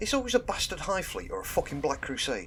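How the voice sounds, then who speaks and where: Music plays behind a man with a southern English accent. He speaks at a fairly quick pace. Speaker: YouTube hobby guide host. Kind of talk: casual tutorial monologue.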